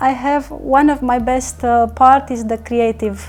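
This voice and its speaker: A woman with a Romanian accent at a fairly slow pace, music in the background. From Romania, small town near the Danube. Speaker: network marketing leader. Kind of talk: interview. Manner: halting, many fillers.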